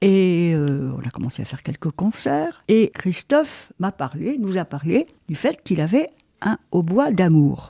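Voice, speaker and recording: With a dark, mellow tone and very wide pitch swings, the speaker goes at a fairly slow pace in a dry, close recording with no echo. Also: woman, fairly low pitch for a woman. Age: 90s (80s+). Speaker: amateur musician. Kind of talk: interview. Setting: at home.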